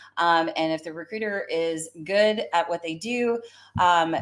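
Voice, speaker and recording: With an American accent, a woman speaks in an animated tone with lively intonation. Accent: Southern US, comes out when fired up. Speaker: career coach and recruiter. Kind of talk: live stream talk. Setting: live stream.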